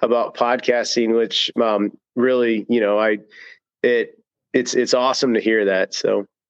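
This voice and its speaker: A man talks in a normal speaking voice at a moderate pace and medium pitch. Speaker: author and co-host. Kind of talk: casual chat.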